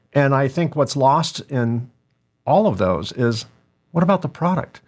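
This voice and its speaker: This man has an ordinary speaking voice, pitched fairly high. He talks fairly slowly with lively intonation. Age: 60s. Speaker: podcast host and business owner. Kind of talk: casual interview chat.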